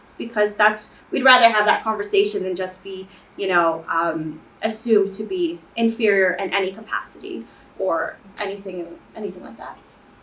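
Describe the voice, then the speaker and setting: At a moderate pace, a woman speaks at a medium pitch with ordinary pitch variation and big swings in loudness. Noticeable noise sits in the background. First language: not English. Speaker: student panelist. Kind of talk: panel discussion.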